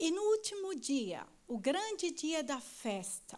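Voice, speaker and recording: A woman with a Brazilian accent speaks with very wide pitch swings. Audible room echo surrounds her voice. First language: Portuguese (speaking German). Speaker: church member. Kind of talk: reading aloud. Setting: stage with audience.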